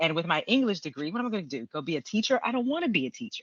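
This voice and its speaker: Talking very fast with very wide pitch swings, a woman speaks in an American accent. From Texas, Houston. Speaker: screenwriter and script consultant. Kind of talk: interview conversation. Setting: podcast.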